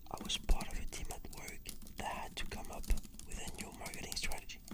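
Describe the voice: Whispering at a moderate pace. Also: man.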